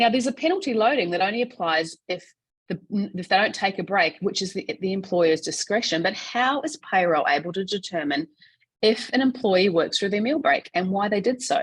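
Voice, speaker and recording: With an Australian accent, a woman speaks at a fairly quick pace and medium pitch, somewhat breathy, with lively intonation. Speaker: payroll association CEO and webinar presenter. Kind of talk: webinar presentation. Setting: online webinar. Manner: fast.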